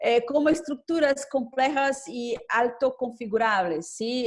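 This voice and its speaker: A woman at a fairly high pitch, very slow in pace, with ordinary pitch variation. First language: Portuguese (speaking Spanish). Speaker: government official and law professor. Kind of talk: conference presentation. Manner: halting, many hesitations.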